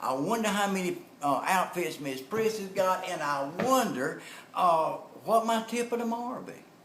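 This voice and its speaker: Speaking in a Southern US accent at a moderate pace, a man with a high pitch makes very wide pitch swings amid audible room echo and noticeable background noise. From North Carolina. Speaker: motivational speaker and network marketer. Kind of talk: storytelling and sales pitch.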